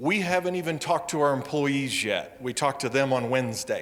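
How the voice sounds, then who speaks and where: Speaking with an American accent, a man uses a fairly high pitch and ordinary pitch variation. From US Midwest. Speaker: wildlife agency safety program manager. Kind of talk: public presentation.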